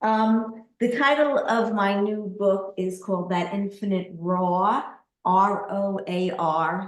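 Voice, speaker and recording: A woman with a Brooklyn accent speaks at a medium pitch with ordinary pitch variation, and audible room echo surrounds her voice. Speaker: poet. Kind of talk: casual chat.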